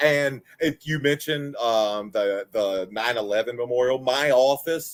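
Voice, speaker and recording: A man speaks at a fairly slow pace with a slight Southern US accent. His pitch is medium, with ordinary pitch variation. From Virginia (Waynesboro, Charlottesville, Harrisonburg area). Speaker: former pro wrestler and content creator. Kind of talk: casual interview chat.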